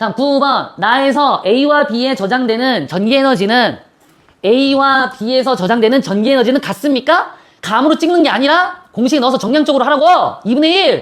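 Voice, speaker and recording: Lively intonation marks a woman's high-pitched voice, its loudness very even. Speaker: physics teacher. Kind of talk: classroom lecture. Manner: fast; casual, bantering.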